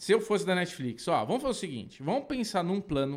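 A man speaks with very wide swings in pitch. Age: 40s. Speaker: podcast co-host. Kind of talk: casual chat.

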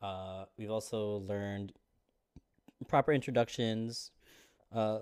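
In a very clean recording with a silent background, a man speaks fairly slowly at a fairly low pitch with monotone, flat intonation. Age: 30s. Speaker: podcast host. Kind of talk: casual chat.

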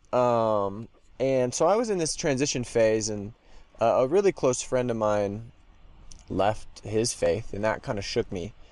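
Speaking at a fairly slow pace with an American accent, a man has an ordinary speaking voice, a medium pitch and ordinary pitch variation. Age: 20s. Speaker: graduate student. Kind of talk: interview.

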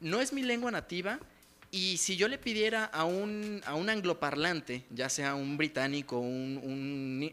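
On a very clean recording with a silent background, a man with a Mexican accent speaks in a high pitch with a bright, sharp tone and very wide pitch swings. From Mexico. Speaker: podcast co-host. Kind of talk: casual chat. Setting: in-person studio at a home.

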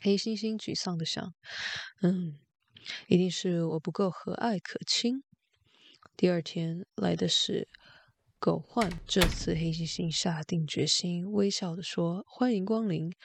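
A woman's normal speaking voice at medium pitch, fairly slow in pace, with ordinary pitch variation, big swings in loudness, and a dry, close sound with no echo. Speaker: bedtime story narrator reading in Mandarin. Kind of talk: bedtime story reading, Mandarin narration.

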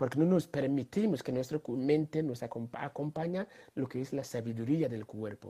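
On a very clean recording with a silent background, a man speaks at a fairly slow pace in a somewhat breathy, dark, mellow tone, his fairly high pitch showing ordinary variation. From Ghana. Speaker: social entrepreneur. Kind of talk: interview.

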